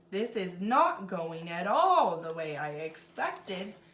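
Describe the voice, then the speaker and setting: A woman in a put-on character voice at a fairly slow pace. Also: medium pitch for a woman. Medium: read story. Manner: smooth, sly.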